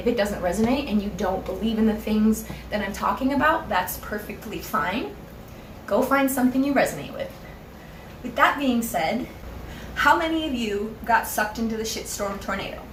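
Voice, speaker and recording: Over noticeable background noise and audible room echo, a woman with a fairly high pitch speaks at a moderate pace in an animated, passionate tone with ordinary pitch variation. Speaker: spiritual YouTuber. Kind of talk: casual vlog monologue.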